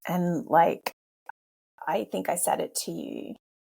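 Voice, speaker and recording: A woman with an Australian accent. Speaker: podcast host, former police officer and life coach. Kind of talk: interview conversation. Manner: repetitive, stammering.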